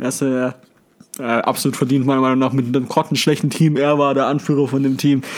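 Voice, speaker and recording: The man's voice sits at medium pitch with monotone, flat intonation. He keeps a fairly quick pace and very even loudness. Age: 20s. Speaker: sports podcast co-host. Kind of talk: casual chat.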